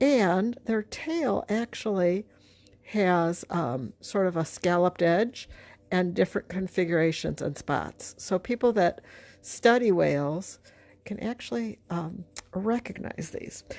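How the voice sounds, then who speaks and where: A woman at a medium pitch and fairly slow pace, on a very clean recording with a silent background. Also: lively intonation. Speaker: art teacher. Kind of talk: tutorial. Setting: livestream video. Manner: casual, halting with fillers.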